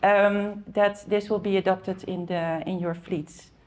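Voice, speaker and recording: A woman with a Dutch accent speaks at a medium pitch with ordinary pitch variation. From Netherlands, Amsterdam. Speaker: car rental industry expert. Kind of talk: conference talk. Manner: hesitant, many fillers.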